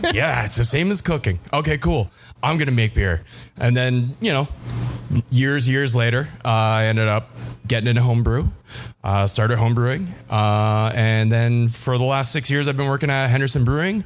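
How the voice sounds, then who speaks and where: In a Canadian accent, a man with an unremarkable speaking voice talks at a moderate pace, medium in pitch with ordinary pitch variation and very even loudness. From Windsor, Ontario, Canada. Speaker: brewer. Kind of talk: live podcast conversation. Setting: brewpub with live audience.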